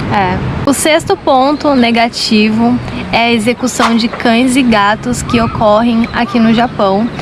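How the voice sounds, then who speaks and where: A woman speaks at a fairly slow pace and fairly high pitch, with ordinary pitch variation. Her loudness is very even, and background noise is noticeable. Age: 20s. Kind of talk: casual talk to camera. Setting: outdoors.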